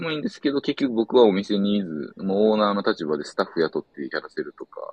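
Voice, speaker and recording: At a very fast pace, a man with a fairly low pitch speaks with very wide pitch swings. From Osaka, Japan. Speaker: board gamer travelling around Japan. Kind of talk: casual chat.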